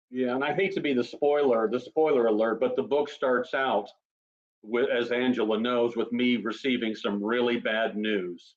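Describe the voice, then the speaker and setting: An unremarkable speaking voice: a man at medium pitch, with ordinary pitch variation and a moderate pace. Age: 60s. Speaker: author. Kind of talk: casual chat.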